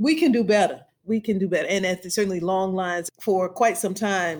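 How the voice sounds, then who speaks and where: A woman with an American accent speaks at a moderate pace and a fairly low pitch. Her intonation is fairly even, with music in the background. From US South, Louisiana. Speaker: law professor and voting rights expert. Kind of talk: interview.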